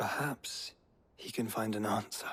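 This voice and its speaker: A man whispers in a put-on character voice at a moderate pace. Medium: video game.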